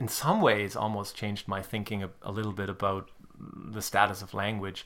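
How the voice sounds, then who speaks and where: The speaker has a German accent. The pace is very fast. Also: man. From Germany (Hamburg). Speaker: literary scholar. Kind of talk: casual chat. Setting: kitchen table.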